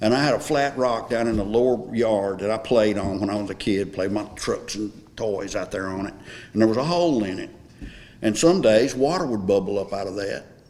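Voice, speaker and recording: With a Tennessee accent, a man talks at a fairly quick pace in a fairly low pitch, with ordinary pitch variation. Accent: Southern US (Tennessee). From Smyrna, Tennessee. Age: 70s. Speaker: local resident sharing memories. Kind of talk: oral history group conversation.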